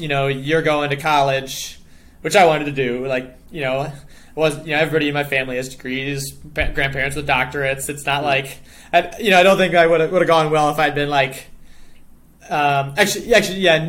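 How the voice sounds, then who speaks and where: Speaking with an American accent at a fairly quick pace, this voice keeps a fairly even intonation, with audible room echo around it. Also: man, fairly high pitch for a man. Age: 20s. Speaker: professional cyclist. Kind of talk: casual chat.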